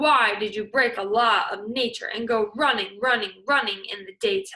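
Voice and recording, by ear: A woman uses a put-on character voice at a fairly high pitch. Her tone is bright and sharp, with a slightly husky edge. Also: lively intonation, moderate pace.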